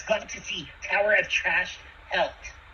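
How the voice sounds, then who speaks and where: The voice is a put-on character voice at a fairly high pitch. It moves at a moderate pace over clear background noise. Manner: cheerful, relieved.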